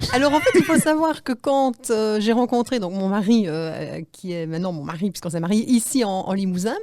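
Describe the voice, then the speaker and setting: With a Liège accent, a woman talks at a fairly quick pace with hardly any pauses, her fairly high pitch making very wide swings in a dark, mellow tone. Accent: Liège Belgian. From Belgium, Liège. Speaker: animal-assisted therapist. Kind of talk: radio interview. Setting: radio studio.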